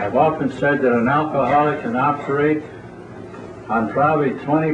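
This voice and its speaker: Noticeable background noise and audible room echo around a man's moderately paced speech. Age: 80s+. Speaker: AA speaker. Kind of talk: recovery talk to a meeting. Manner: plain-spoken.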